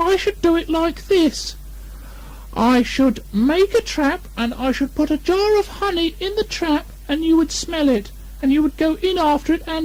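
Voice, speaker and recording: Over noticeable background noise, a squeaky put-on character voice speaks at a moderate pace. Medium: read story. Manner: hesitant, earnest.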